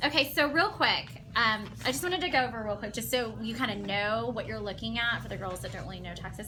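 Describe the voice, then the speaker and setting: Music plays in the background as a woman with an American accent talks at a very fast pace, with audible room echo. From Oklahoma. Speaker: tax preparer and makeup seller. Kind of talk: tutorial.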